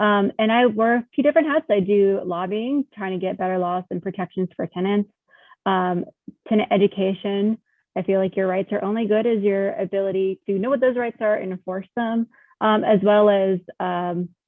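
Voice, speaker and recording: This woman has an ordinary speaking voice with an American accent and a medium pitch. She talks at a moderate pace with ordinary pitch variation. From North Carolina, Monroe. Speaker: attorney. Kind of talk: panel discussion.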